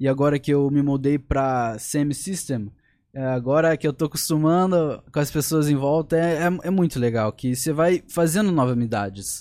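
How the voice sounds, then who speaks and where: The voice has an English accent and a dark, mellow tone. Its loudness stays very even. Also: man, fairly high pitch for a man, ordinary pitch variation, moderate pace, very clean recording, silent background. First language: English (speaking Portuguese). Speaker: young fighter. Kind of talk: casual chat.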